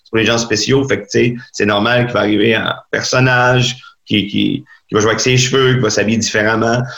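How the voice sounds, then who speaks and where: At a moderate pace, a man speaks in a medium pitch, monotone and flat, with very even loudness. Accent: Quebec. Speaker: stand-up comedian. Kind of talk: casual interview chat.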